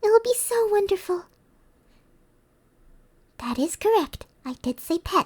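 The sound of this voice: Using a put-on character voice, a woman talks fairly slowly at an extremely high pitch with big pitch swings.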